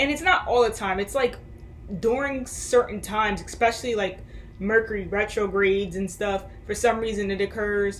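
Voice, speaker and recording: Noticeable background noise sits under a woman's fairly high voice. Her intonation stays fairly even. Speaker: spiritual vlogger. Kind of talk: casual monologue. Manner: halting.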